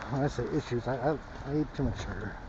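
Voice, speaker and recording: Soft-spoken and medium in pitch, a man with an American accent talks over noticeable background noise. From US West Coast, Los Angeles. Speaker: vlogger. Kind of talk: casual walking vlog. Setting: outdoors, walking in snow.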